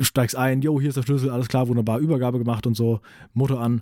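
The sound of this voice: A man's dark, mellow tone at medium pitch, fast pace and fairly even intonation on a very clean recording with a silent background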